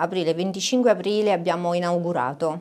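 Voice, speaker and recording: The voice belongs to a woman. Her pitch shifts by an ordinary amount. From Pratella, Caserta province, Campania; Campania. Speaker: artisan pastry maker. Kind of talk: interview. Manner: hesitant, with fillers. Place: shop. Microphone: lapel.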